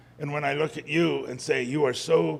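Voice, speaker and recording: Over noticeable background noise, a man keeps up a moderate pace as he talks. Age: 60s. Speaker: congregation member sharing at open mic. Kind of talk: personal testimony. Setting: church service with audience. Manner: halting.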